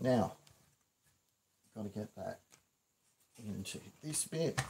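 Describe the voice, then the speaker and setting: A somewhat breathy man speaks very slowly at a medium pitch with lively intonation. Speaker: prop maker. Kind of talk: livestream tutorial. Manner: mumbling.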